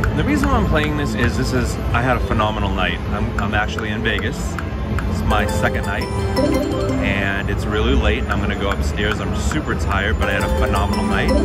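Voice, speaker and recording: A man at a fairly quick pace over loud music in the background. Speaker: slot play vlogger. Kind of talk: casual vlog chat. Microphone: phone near.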